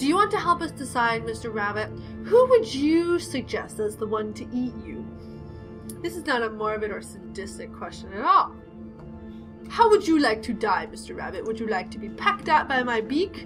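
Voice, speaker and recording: Over music in the background, a woman speaks at a moderate pace with big swings in loudness. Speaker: let's play gamer. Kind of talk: reading game story text aloud with character voices. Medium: read story.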